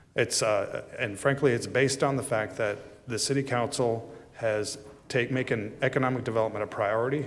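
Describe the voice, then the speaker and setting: Audible room echo surrounds a man speaking at a medium pitch with fairly even intonation. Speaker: city manager presenting budget. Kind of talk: budget presentation at council meeting. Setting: city council chambers. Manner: fast.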